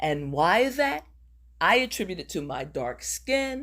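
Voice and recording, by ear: A woman with a fairly low pitch speaks at a fairly slow pace, her pitch swinging widely.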